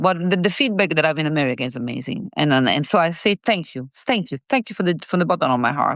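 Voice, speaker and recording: A woman's fairly quick, lively-intoned voice, dry and close with no echo, over a quiet background. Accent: Italian. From Italy. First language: Italian. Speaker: singer-songwriter. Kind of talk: interview. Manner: halting, with many fillers and repeats.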